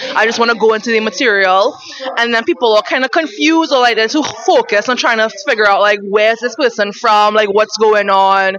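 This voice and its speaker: Speaking at a fairly quick pace with very even loudness, a woman with a fairly high pitch is heard against noticeable background noise. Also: ordinary pitch variation. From Trinidad, Chinese-Trinidadian. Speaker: stand-up comedian. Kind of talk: casual interview.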